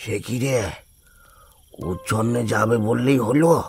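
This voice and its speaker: Over background music, a raspy, cartoonish character voice moves at a moderate pace with ordinary pitch variation. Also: man, medium pitch for a man. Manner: slow, fretful, grandfatherly.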